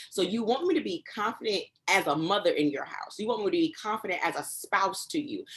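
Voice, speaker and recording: A woman in an American accent speaks with very wide pitch swings. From US Northeast, Newark, New Jersey. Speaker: preacher and professor. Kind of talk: interview. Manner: fast.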